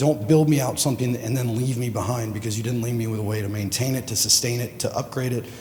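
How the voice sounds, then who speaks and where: Speaking at a fairly quick pace with fairly even intonation, a man's medium-pitched voice carries some audible room echo. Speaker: executive director of the organizing consortium. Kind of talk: conference panel remarks.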